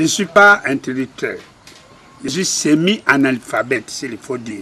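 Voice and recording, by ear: A man speaks at a fairly slow pace and medium pitch, with big pitch swings. His tone is bright and sharp, with a slightly husky edge.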